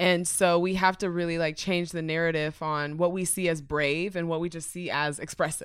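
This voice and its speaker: In a very clean recording with a silent background, a woman with an American accent speaks at a moderate pace in a fairly low pitch, with monotone, flat intonation and hardly any pauses. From Dallas, Texas. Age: 20s. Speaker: podcaster. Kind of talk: casual chat.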